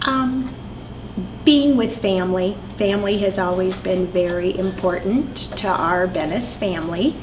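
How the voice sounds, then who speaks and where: Amid noticeable background noise and audible room echo, a woman with an American accent speaks at a medium pitch and a fairly slow pace with ordinary pitch variation. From US Midwest, eastern Iowa. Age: 60s. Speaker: longtime resident, religious education director. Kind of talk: interview.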